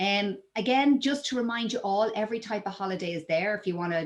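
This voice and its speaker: The speaker talks at a fairly quick pace with an Irish accent. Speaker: travel company presenter. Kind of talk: webinar presentation. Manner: filler-heavy with frequent 'um'.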